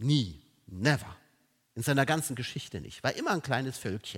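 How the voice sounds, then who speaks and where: A somewhat breathy voice with an animated tone and lively intonation. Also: man. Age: 50s. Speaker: preacher. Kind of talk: sermon.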